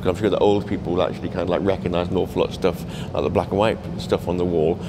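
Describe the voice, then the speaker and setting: A man's very deep, low voice at a very fast pace over noticeable background noise. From Cumbria, England; England. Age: 50s. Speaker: documentary photographer; interviewee. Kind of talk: interview. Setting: art gallery. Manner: halting, many fillers and repeats. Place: hall. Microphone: handheld.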